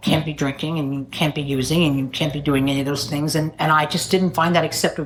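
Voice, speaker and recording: A woman with a very deep, low pitch speaks in fairly even intonation over noticeable background noise. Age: 70s. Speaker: AA speaker. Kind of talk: testimony.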